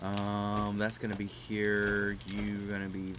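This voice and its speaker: Speech from a man amid noticeable background noise and audible room echo. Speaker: gaming YouTuber. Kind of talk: let's play commentary. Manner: casual, rambling with fillers.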